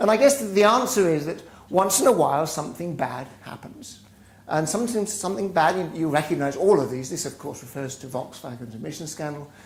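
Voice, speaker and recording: With lively intonation and big swings in loudness, the speaker goes at a fairly quick pace amid audible room echo. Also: man, fairly high pitch for a man. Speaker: business school professor. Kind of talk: lecture. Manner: halting, with repeated words.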